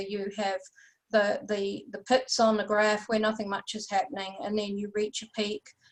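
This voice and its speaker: A woman with a New Zealand accent talks at a fairly high pitch and a moderate pace. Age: 60s. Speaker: UFO researcher and experiencer. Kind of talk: interview.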